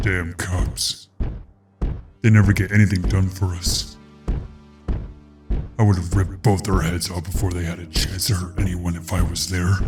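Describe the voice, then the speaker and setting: A man does a put-on character voice with a very deep, low pitch. He goes at a moderate pace while faint music plays in the background. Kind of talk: audio drama dialogue.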